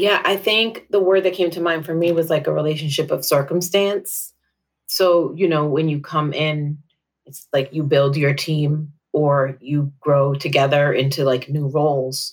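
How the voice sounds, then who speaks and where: This woman's pitch is very deep and low, and she talks at a moderate pace. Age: 40s. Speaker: nonprofit manager. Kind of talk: counseling session conversation.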